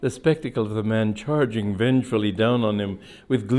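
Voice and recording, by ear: The text is read aloud in a natural voice.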